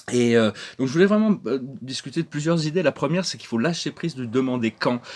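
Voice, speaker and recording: A man with a medium pitch speaks at a very fast pace. His intonation is lively, and his loudness swings a lot. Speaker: spiritual channel host. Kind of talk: spiritual talk to camera. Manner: halting, many hesitations and repetitions.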